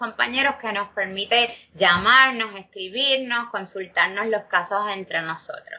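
Ordinary pitch variation from a woman, fairly high in pitch. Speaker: public defense lawyer and law professor. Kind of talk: interview.

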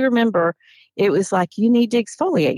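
Recorded very cleanly against a silent background, a woman with a Southern US accent uses lively intonation in a dry, close sound with no echo. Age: 50s. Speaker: soap maker and former teacher. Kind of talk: interview.

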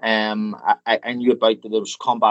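A man with a Northern Irish accent speaks with monotone, flat intonation. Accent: Northern Irish (Belfast). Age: 40s. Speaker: funeral director. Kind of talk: interview. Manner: halting, many fillers and repetitions.

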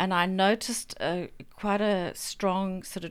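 A woman with a South African accent at medium pitch, in a very clean recording with a silent background. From Zambia. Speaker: writer. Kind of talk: casual interview chat.

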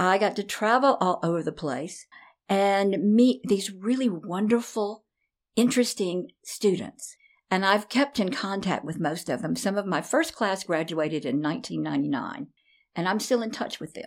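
In a Southern US accent, a woman talks fairly slowly at a medium pitch with lively intonation, on a very clean recording with a silent background. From US South, Nashville, Tennessee. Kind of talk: interview.

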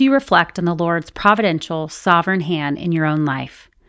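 A woman with an ordinary speaking voice talks at a fairly quick pace, her fairly low pitch showing ordinary pitch variation. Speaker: podcast host. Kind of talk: faith-based interview.

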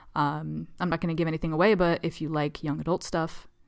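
On a very clean recording with a silent background, a woman with a very deep, low pitch and vocal fry speaks at a very fast pace with ordinary pitch variation. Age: 30s. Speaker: writer and podcast co-host. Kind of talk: casual chat.

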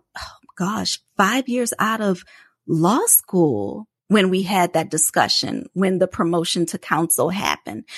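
A woman of medium pitch talks fairly slowly, with lively intonation and vocal fry. The sound is dry and close with no echo, over a quiet background. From New Orleans, Louisiana. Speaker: patent attorney, podcast co-host. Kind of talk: interview, casual conversation.

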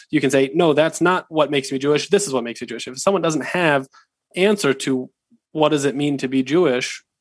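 With a Pacific Northwest accent, a man talks in a fairly high voice with ordinary pitch variation. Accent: American (Pacific Northwest). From US Pacific Northwest (Seattle, Washington). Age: young. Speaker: rabbinic student. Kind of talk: interview.

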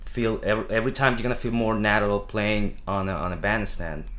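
A man with a Spanish accent speaks with fairly even intonation. Audible room echo surrounds his voice. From Venezuela. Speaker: jazz drummer. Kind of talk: casual chat. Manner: halting.

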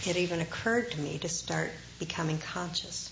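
Quick-ish delivery and normal pitch movement, with clearly audible noise behind it. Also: woman. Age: 50s. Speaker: Zen meditation teacher. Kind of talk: dharma talk. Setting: talk with live audience.

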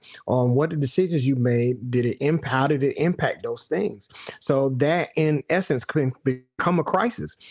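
A man speaks at a fairly high pitch with ordinary pitch variation. His pace is moderate. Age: 50s. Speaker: podcast host. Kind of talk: monologue. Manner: hesitant, many fillers.

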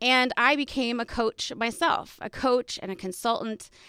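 With an American accent, a woman speaks at a moderate pace in a bright, sharp tone. The recording is very clean and dry, close with no echo, against a silent background. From Texas. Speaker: podcast host and coach. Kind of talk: personal storytelling monologue.

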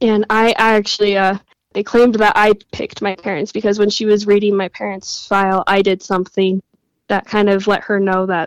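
A woman's medium-pitched voice with a Western US accent, monotone and flat, at a fairly quick pace, in a dry, close sound with no echo. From Utah. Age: 20s. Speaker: guest sharing personal story. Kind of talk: interview.

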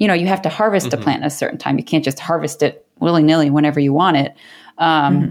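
Very fast female speech with a General American accent, very deep and low in pitch, with ordinary pitch variation, very even loudness, and a very clean recording with a silent background. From US, New York-born to Korean immigrant parents. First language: Korean. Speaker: paper maker and artist. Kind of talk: casual interview.

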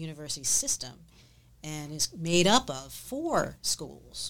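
A woman's fairly low voice with vocal fry at a fairly slow pace. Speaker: podcast host. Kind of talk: interview on a business podcast.

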